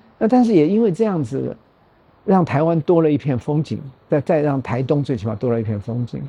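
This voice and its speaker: A man talks at a fairly quick pace and fairly high pitch, somewhat breathy with a dark, mellow tone and very wide pitch swings. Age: 70s. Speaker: nonprofit foundation chairman, former hotel executive. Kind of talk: interview conversation.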